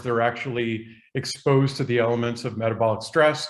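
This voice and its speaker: The man talks at a medium pitch. His intonation stays monotone and flat. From US Northeast, Boston. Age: 60s. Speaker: biochemistry professor. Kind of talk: podcast interview.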